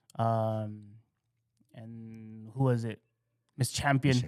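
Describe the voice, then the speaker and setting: This man has an American accent. He speaks in a flat, monotone way. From New Mexico, US. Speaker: mariachi singer. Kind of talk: casual chat. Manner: halting.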